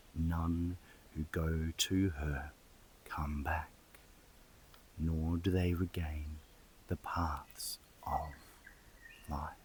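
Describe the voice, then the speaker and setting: Soft-spoken and somewhat breathy, a man talks very slowly at a very deep, low pitch. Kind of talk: scripture reading. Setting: outdoors.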